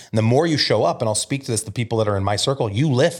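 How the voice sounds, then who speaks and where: Very fast and somewhat breathy, a man with an American accent talks with ordinary pitch variation in a very clean recording against a silent background. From Omaha, Nebraska (US Midwest). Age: 40s. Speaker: real estate brokerage founder. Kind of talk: casual interview conversation. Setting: podcast studio.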